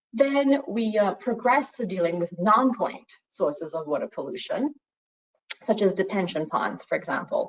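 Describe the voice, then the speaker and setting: A woman with a Trinidadian accent speaks with lively intonation. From Trinidad and Tobago. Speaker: environmental consultancy head, panelist. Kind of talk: online panel presentation with slides. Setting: online video call. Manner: frequent fillers and repetitions.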